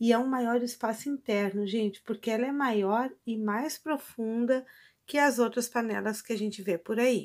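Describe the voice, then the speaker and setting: Against a quiet background, a woman with a Brazilian accent speaks at a fairly high pitch, at a fairly slow pace, with fairly even intonation. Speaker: product reviewer. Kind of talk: casual product demo. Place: kitchen.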